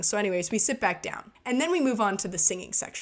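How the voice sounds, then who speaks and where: She speaks in a plain, everyday voice at a fairly quick pace, with ordinary pitch variation. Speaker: gaming storytime youtuber. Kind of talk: storytelling over gameplay.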